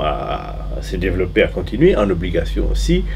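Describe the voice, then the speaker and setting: A man talks at a very slow pace. There is audible room echo and noticeable background noise. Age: 60s. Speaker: former bank trader. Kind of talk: interview. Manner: halting with many hesitations.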